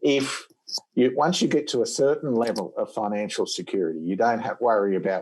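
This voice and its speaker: On a very clean recording with a silent background, a man speaks in an Australian accent with ordinary pitch variation. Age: 60s. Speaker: dentistry professor. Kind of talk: podcast interview.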